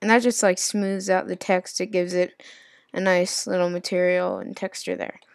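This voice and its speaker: At a moderate pace, a woman speaks at medium pitch with fairly even intonation on a very clean recording with a silent background. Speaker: software tutorial creator. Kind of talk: tutorial. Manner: halting, stumbling over words.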